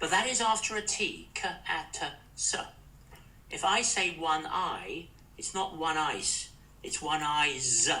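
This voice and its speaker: A man with a British accent talks very slowly at a fairly high pitch with lively intonation and long, frequent pauses, over noticeable background noise and audible room echo. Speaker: former ambassador. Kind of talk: interview.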